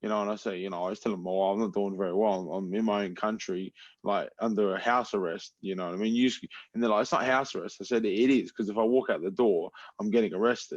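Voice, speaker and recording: A man with an Australian accent, a fairly low pitch and a very fast pace, against a quiet background. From Adelaide, South Australia. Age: 20s. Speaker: MMA fighter. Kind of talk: casual chat. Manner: animated.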